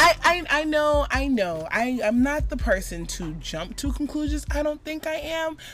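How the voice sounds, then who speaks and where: An animated woman with an American accent at a moderate pace, with hardly any pauses and noticeable background noise. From Florida, Jamaican family. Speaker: podcast co-host. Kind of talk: casual chat.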